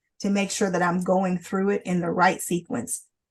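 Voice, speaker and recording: A somewhat breathy woman at a moderate pace. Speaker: lawyer presenting a legal training webinar. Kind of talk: legal training webinar. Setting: online webinar. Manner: repetitive, halting.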